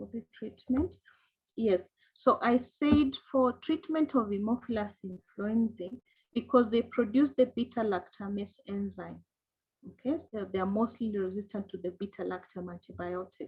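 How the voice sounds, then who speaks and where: A woman's somewhat breathy voice sits fairly high in pitch and makes big swings in loudness. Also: ordinary pitch variation, moderate pace. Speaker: microbiology lecturer. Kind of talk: online lecture.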